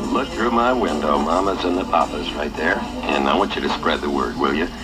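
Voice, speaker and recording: A man's very deep, low voice, fairly quick and lively in intonation, with music in the background. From United States, New York. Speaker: radio disc jockey. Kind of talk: 1960s top-40 radio DJ patter. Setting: vintage radio broadcast. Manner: fast, upbeat, casual.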